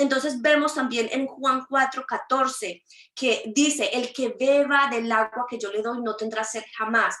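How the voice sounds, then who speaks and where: Her voice raised and projected, a woman talks at a fairly slow pace with a high pitch and fairly even intonation. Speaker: prophet preacher. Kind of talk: sermon. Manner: halting, stammering repeats.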